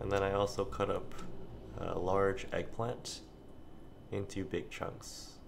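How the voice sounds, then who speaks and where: Very slow, quiet speech with vocal fry, fairly even intonation, long and frequent pauses, and noticeable background noise. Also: man, fairly low pitch for a man. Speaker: home cook. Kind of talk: casual cooking narration. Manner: quiet, low volume. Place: kitchen.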